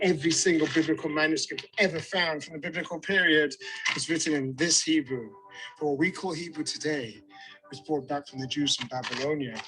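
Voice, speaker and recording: With music in the background, a man talks at a fairly quick pace. He has a fairly high pitch and a British accent. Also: ordinary pitch variation. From Britain. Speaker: tour guide. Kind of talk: guided tour presentation. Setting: outdoors. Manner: animated.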